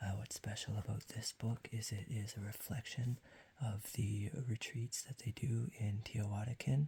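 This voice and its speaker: At a moderate pace, the talker remains soft-spoken throughout. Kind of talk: ASMR soft-spoken ramble with tapping. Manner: soft-spoken, quiet.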